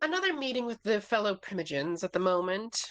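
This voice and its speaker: This put-on character voice races along. The pace is very fast. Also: female-sounding voice, medium pitch for a woman. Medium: actual play. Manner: genteel, patronizing.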